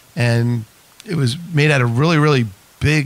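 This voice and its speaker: Speaking fairly quickly with a New York accent, this man keeps his medium-pitched intonation fairly even. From Whitestone, Queens, New York. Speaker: radio host. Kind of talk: radio interview.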